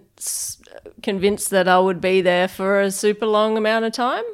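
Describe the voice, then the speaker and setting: In an Australian accent, a woman speaks at a medium pitch with monotone, flat intonation in a very clean recording with a silent background. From Perth, Western Australia. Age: 30s. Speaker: head brewer. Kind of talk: interview. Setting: brewery offices.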